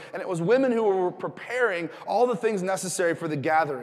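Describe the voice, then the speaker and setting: A man's animated voice at a fairly quick pace. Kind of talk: sermon. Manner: animated, conversational and jokey, with rhetorical questions and call-and-response.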